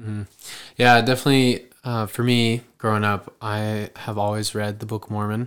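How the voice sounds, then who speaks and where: Flat, monotone speech from a man with a fairly low voice at a moderate pace, on a very clean recording with a silent background. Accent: American. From Idaho. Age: 20s. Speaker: returned missionary. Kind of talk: casual chat.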